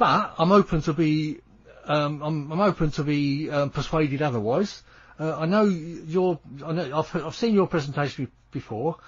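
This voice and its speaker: A man's fairly high-pitched voice with a British accent. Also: ordinary pitch variation, moderate pace. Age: 70s. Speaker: radio host. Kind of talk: radio interview.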